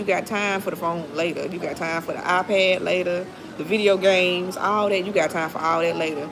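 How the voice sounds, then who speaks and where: A woman talks fairly quickly in an animated tone at a fairly low pitch, with audible room echo and noticeable background noise. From Mississippi, US South. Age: 30s. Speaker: livestreamer. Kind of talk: casual chat. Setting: livestream.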